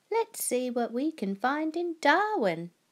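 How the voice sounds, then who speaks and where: A woman's put-on character voice, high-pitched, with very wide pitch swings and a fairly slow pace. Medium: read story. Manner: warm, cheerful.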